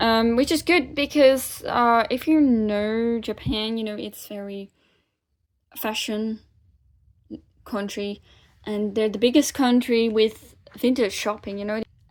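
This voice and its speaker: On a very clean recording with a silent background, a woman speaks at a fairly slow pace. Her voice is fairly high, with fairly even intonation. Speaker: vlogger. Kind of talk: casual vlog. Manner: halting, many fillers.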